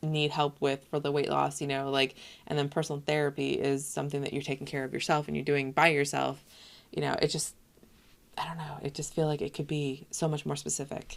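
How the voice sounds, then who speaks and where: A woman's very deep, low voice with vocal fry and monotone, flat intonation at a fairly quick pace. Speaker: web designer reviewing websites. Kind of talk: screen-recorded website critique. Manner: casual, many fillers. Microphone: webcam.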